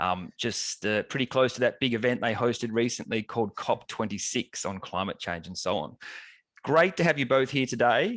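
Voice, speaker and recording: A man with an Australian accent speaks at a medium pitch with lively intonation. The sound is dry and close with no echo and a quiet background. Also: moderate pace. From Australia, Melbourne. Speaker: professor and webinar moderator. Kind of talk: webinar moderation. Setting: online event.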